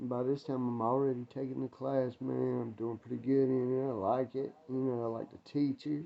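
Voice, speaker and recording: Speaking at a moderate pace and medium pitch, a man with a North Carolina accent uses monotone, flat intonation. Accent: US Southern, North Carolina. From North Carolina, Winston-Salem. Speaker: ex-prisoner vlogger. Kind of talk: casual storytelling vlog. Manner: casual, rambling with fillers; quiet, keeping voice down.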